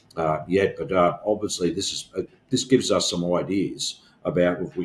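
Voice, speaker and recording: A man speaks with an Australian accent. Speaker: union organizer, podcast co-host. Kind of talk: casual discussion. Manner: halting, many fillers.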